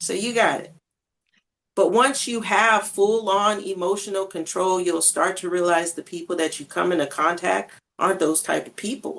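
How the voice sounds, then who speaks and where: A woman's medium-pitched voice at a moderate pace, with ordinary pitch variation and big swings in loudness. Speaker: podcast co-host. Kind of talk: casual chat.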